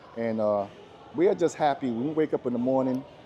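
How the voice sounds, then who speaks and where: Music plays in the background while a man with an American accent speaks at a fairly quick pace. His medium pitch has ordinary variation. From US Virgin Islands, Saint Thomas. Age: 60s. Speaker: model and former correction officer. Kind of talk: interview. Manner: animated.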